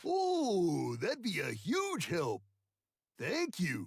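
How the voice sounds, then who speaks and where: Put-on character voice from a man at a very slow pace. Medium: video game. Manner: folksy, hesitant.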